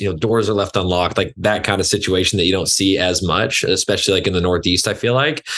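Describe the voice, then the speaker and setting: A man with an American accent speaks at a very fast pace with fairly even intonation over a quiet background. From West Texas (Lubbock area). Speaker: fitness trainer. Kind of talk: casual interview chat. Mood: relaxed storytelling. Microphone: video call.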